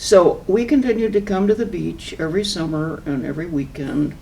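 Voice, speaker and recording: The voice has a dark, mellow tone, in an American accent. Room echo is audible. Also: woman. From Southern California. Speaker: local environmental activist. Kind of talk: oral history interview.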